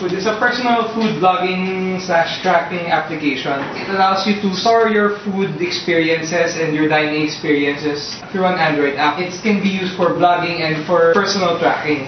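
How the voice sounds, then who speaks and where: A man with a high pitch and ordinary pitch variation speaks at a moderate pace with hardly any pauses. Light background noise and audible room echo are present. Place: meeting room. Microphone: camera far.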